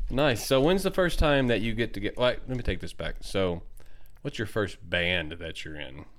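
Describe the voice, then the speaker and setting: Speaking at a moderate pace, a man with a medium pitch and vocal fry makes very wide pitch swings. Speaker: podcast host. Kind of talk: casual interview.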